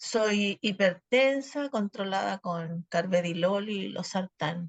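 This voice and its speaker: The woman talks with ordinary pitch variation. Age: 70s. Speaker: patient. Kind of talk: testimony.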